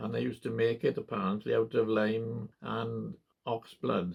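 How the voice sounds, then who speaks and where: Here a man talks at a fairly slow pace with a Welsh accent. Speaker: part-time farmer. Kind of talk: oral history interview. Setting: at home in farmhouse. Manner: hesitant, many fillers.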